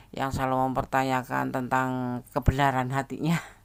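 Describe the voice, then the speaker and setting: A very clean recording, silent background and moderate pace. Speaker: tarot reader. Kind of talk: tarot reading talk to camera. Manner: friendly, casual.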